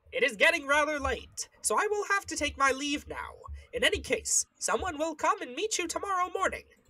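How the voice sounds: Putting on a character voice, a woman speaks at an extremely high pitch with very wide pitch swings. Her pace is fairly quick.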